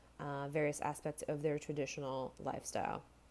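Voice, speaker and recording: With a non-native accent, a woman speaks at a moderate pace in a very deep, low pitch and a monotone, flat intonation. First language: not English. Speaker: university student. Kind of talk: class presentation. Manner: hesitant, many fillers.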